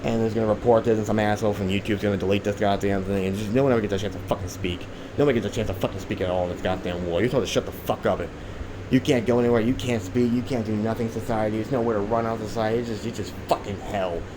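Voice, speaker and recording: A man at a very fast pace, fairly low in pitch, fairly even in intonation, over noticeable background noise. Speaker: conspiracy vlogger. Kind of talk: rant monologue. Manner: rambling, halting; profane, agitated.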